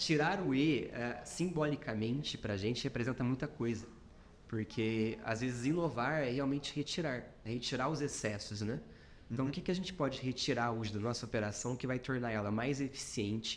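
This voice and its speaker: With a slight mineiro accent, a man talks at a moderate pace and ordinary pitch variation. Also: medium pitch for a man. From Minas Gerais, Brazil. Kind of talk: professional, business talk.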